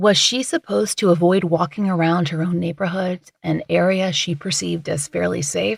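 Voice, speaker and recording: Vocal fry runs through a woman's fairly low voice, with ordinary pitch variation. She speaks at a moderate pace, and the sound is dry and close with no echo. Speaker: true crime podcast host. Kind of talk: true crime podcast narration.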